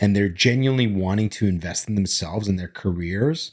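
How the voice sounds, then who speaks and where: The speech moves at a moderate pace with ordinary pitch variation, in a very clean recording with a silent background. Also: man. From immigrant to Canada, childhood abroad. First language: not English. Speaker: business owner, podcast co-host. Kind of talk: casual chat. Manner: halting, with false starts.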